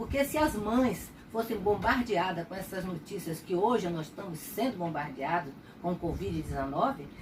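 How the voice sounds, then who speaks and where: A woman's pitch swings very widely while noticeable noise carries on in the background. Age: 70s. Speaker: retired pediatrician. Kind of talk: personal testimony.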